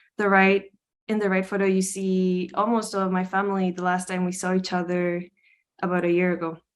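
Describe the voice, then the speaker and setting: Speaking with a Spanish accent at a fairly quick pace, a woman keeps a monotone, flat intonation at a medium pitch against a quiet background. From Costa Rica. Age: 20s. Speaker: art student. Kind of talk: presentation.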